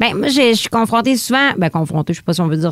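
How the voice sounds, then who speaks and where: A woman with a Lac-Saint-Jean accent, dry, close sound with no echo. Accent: Lac-Saint-Jean Quebec French. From Quebec, Lac-Saint-Jean. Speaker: stand-up comedian. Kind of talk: interview. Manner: casual, eats her words at times.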